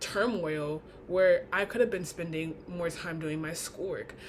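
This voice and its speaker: A woman with an ordinary speaking voice and lively intonation, at a fairly slow pace. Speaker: college student. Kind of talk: class speech.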